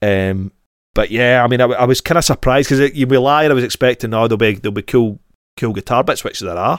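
A man with a Scottish accent, medium-pitched, ordinary pitch variation, very fast pace, on a very clean recording with a silent background. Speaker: podcast host. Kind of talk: casual chat.

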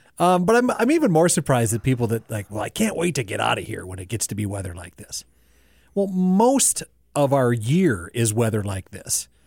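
Somewhat breathy and at a medium pitch, a man speaks at a fairly quick pace with very wide pitch swings. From North Dakota, raised in South Dakota. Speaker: podcast host and producer. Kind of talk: casual chat. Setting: studio with camera.

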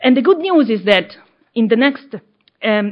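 A woman's fairly high-pitched voice, a plain, everyday voice. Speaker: book editor and academic. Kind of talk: panel introductions and presentation. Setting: live event with audience.

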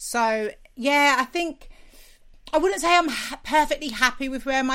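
A woman with a London accent speaks at a moderate pace, her bright, sharp tone energetic and her intonation lively. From South London. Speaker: TV and radio presenter, podcaster. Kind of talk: interview.

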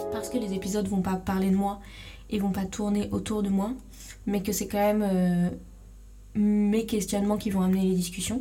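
The voice is monotone and flat at a moderate pace, broken by long, frequent pauses. Audible room echo surrounds it. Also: woman, medium pitch for a woman. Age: 20s. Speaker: podcast host. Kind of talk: solo monologue. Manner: hesitant.

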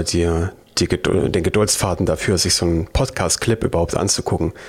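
This man has a slight Thuringian accent. He talks at a moderate pace with ordinary pitch variation. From Thuringia, Germany. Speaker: YouTube programming tutor. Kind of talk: casual chat.

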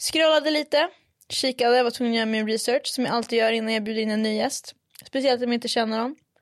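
This woman talks at a very fast pace in a high voice. She has a slight northern Swedish accent. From northern Sweden, Umeå. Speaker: podcast host. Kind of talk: casual chat. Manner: animated, mixes in English.

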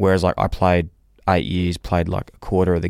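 The voice carries an Australian accent with monotone, flat intonation. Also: man. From Australia, Melbourne. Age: 30s. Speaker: former professional footballer, podcaster. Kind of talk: casual chat.

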